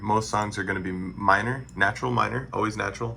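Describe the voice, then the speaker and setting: A man's fairly low voice has vocal fry and a bright, sharp tone. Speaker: music production tutor. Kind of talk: tutorial. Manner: casual, halting with fillers.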